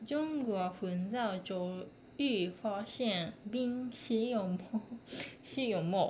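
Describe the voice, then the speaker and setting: In a Japanese accent, a woman speaks at a very slow pace with lively intonation and very even loudness, with audible room echo. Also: medium pitch for a woman. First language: Japanese (speaking Chinese). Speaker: language student. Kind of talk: reading aloud practice. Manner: halting.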